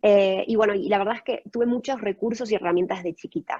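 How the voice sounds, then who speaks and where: Her voice has a dark, mellow tone at a medium pitch for a woman, and the sound is dry and close with no echo. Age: 20s. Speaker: guest speaker sharing personal experience. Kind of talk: testimony.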